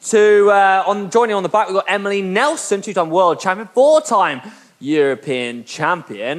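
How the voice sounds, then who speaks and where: Noticeable background noise sits under the man's lively intonation. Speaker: indoor cycling instructor. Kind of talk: guided workout session. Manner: fast; animated, motivational.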